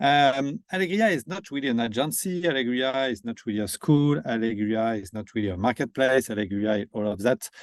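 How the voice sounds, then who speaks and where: Speaking at a fairly quick pace with hardly any pauses, a man with a French accent uses a medium pitch and lively intonation, recorded with a dry, close sound, no echo and a quiet background. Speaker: company founder and CEO. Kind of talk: webinar presentation.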